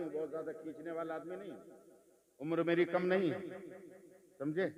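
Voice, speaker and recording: There is noticeable background noise as a man with a fairly high pitch speaks with ordinary pitch variation. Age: 60s. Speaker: Islamic preacher. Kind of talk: religious speech.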